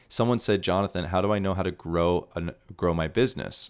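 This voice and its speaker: Energetic and animated, a man with a very deep, low voice speaks at a very fast pace with ordinary pitch variation on a very clean recording with a silent background. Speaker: podcast host. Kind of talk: solo monologue, live, casual and passionate. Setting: live, talking to camera. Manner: animated, loud, energetic.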